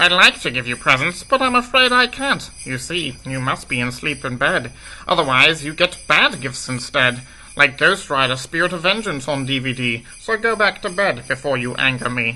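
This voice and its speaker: A put-on character voice from a man, fairly high in pitch with lively intonation, over clear background noise. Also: moderate pace. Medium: solo performance. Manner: grumpy, sour.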